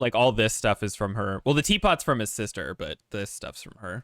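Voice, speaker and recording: At a moderate pace, a man with a plain, everyday voice speaks in a fairly low pitch with ordinary pitch variation and big swings in loudness, the sound dry and close with no echo. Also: very clean recording, silent background. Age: 20s. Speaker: streamer. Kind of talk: casual chat.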